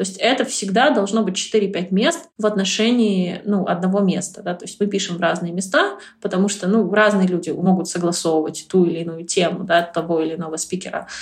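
A somewhat breathy voice at a fairly quick pace with ordinary pitch variation. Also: woman, medium pitch for a woman. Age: 30s. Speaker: marketer and public speaker. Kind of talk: interview.

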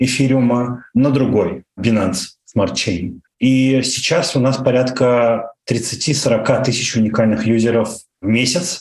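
A man's medium-pitched voice at a very slow pace. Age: 30s. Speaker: internet entrepreneur. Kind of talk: interview. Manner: hesitant, many fillers.

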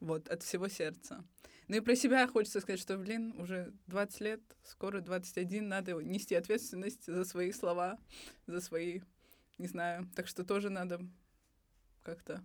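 In a very clean recording with a silent background, a woman of medium pitch speaks fairly slowly with ordinary pitch variation and long, frequent pauses. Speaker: podcast co-host, university student. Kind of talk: casual chat. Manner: pitch shifts higher when joking.

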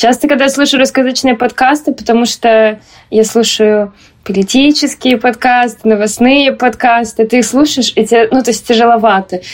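Speaking at a moderate pace, a woman with a high pitch keeps her intonation fairly even and her loudness very even. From Moscow, Russia. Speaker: graduate student, podcast co-host. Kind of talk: casual chat.

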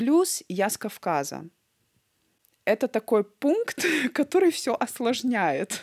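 A woman's fairly high voice with vocal fry, very wide pitch swings, a very slow pace and long, frequent pauses. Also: dry, close sound with no echo. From North Ossetia, Vladikavkaz. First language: Ossetian (bilingual with Russian) (speaking Russian). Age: 30s. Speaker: cardiac surgeon. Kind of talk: interview.

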